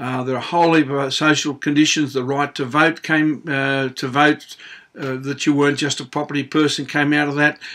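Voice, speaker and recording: A man speaks with an Australian accent at a moderate pace. His voice is fairly high-pitched and bright and sharp in tone, with fairly even intonation. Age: 60s. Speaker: auctioneer and public speaker. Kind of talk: opinion monologue to camera. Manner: casual, conversational with hesitations.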